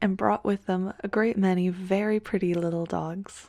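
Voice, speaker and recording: A soft-spoken woman talks at a moderate pace, her pitch medium and her intonation fairly even. The sound is dry and close, with no echo. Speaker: ASMR creator. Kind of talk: fairy tale reading.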